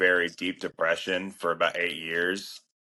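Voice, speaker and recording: A man with an American accent. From Florida, US South. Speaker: speech therapist and entrepreneur. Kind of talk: personal testimony in interview.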